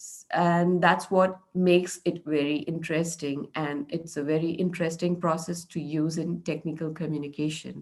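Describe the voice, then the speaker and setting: With a Marathi accent, a woman talks at a moderate pace and a fairly low pitch, her intonation monotone and flat, her loudness swinging widely, and hardly any pauses, over a quiet background. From India, Maharashtra. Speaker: meetup speaker. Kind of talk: presentation.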